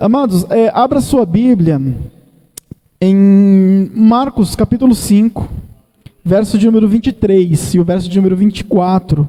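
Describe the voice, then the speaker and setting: A man's high voice with ordinary pitch variation, a fairly slow pace, very even loudness and long, frequent pauses. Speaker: evangelist preacher. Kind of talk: sermon. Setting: church.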